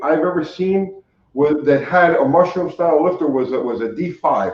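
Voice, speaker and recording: The man's voice sits high in pitch. He talks at a moderate pace. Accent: American. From New York City, Staten Island. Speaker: car mechanic and YouTuber. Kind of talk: casual interview chat. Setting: live stream.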